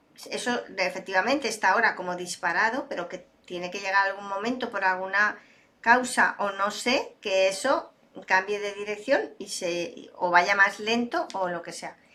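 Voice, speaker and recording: Over noticeable background noise, a woman talks at a moderate pace and medium pitch, with ordinary pitch variation and big swings in loudness. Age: 60s. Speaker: data and AI expert, speaker. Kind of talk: interview conversation.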